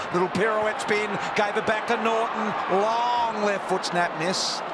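Loud noise fills the background. The sound is dry, with no echo. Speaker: football commentator. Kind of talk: live commentary.

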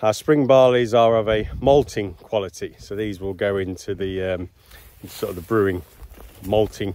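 A man speaks in an unremarkable speaking voice, fairly low in pitch. The sound is dry with no echo. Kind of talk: casual explanatory vlog. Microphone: phone near.

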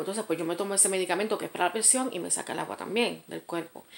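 Her intonation is lively as the woman speaks. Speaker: vlogger. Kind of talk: casual storytime rant, angry venting about an ex, direct to camera. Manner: indignant, sarcastic, emphatic, dismissive. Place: home room. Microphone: phone near.

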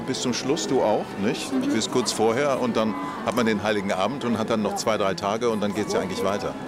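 A man talks at a fairly quick pace with clear music in the background. The sound is dry with no echo. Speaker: actor and voice actor. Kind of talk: red carpet interview answer. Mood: relaxed, thoughtful. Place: street.

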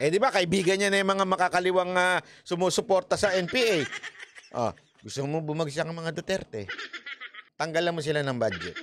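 A man speaks at a fairly quick pace in a high pitch, with ordinary pitch variation. Noticeable background noise runs behind him. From Philippines. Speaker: news commentator. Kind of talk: heated political commentary, angry rant. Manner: rhetorical questions, mocking. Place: studio. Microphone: studio mic.

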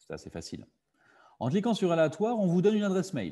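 A man speaks with a dark, mellow tone and a somewhat breathy quality. The background is quiet. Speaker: digital literacy workshop facilitator. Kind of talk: online workshop presentation. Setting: video call. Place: home room. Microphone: webcam.

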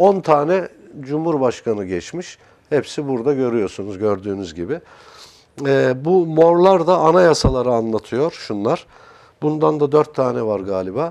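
A man speaks at a fairly slow pace in a fairly high pitch. His pitch swings very widely. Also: quiet background. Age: 60s. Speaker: art consultant and character analyst; guest. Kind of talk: TV interview. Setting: TV studio. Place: studio. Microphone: lapel.

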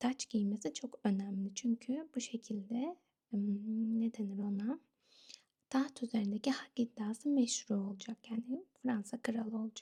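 Soft-spoken and calm in tone, a woman talks at a fairly slow pace in a fairly high, somewhat breathy voice with a dark, mellow tone and ordinary pitch variation. The sound is dry and close, with no echo. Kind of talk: ASMR history storytelling narration. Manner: soft-spoken, calm.

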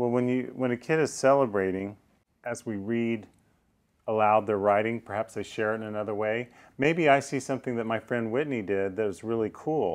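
A man's ordinary speaking voice, medium in pitch with ordinary pitch variation, at a fairly quick pace over a quiet background. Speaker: author and educator. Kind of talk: interview about teaching grammar.

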